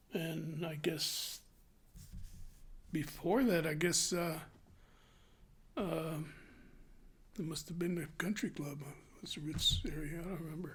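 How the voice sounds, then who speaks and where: A man's fairly high voice at a fairly slow pace, with long, frequent pauses and audible room echo. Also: fairly even intonation. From New Mexico (Clayton, then Albuquerque). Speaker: retired butcher, interviewee. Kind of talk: oral history interview.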